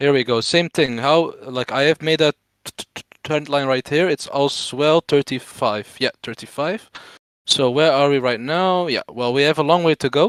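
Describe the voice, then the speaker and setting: A man's fairly high voice with a non-native accent, dry and close with no echo. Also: ordinary pitch variation, moderate pace. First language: not English. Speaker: crypto trader explaining chart analysis. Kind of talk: live stream tutorial. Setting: live stream. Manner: stutter.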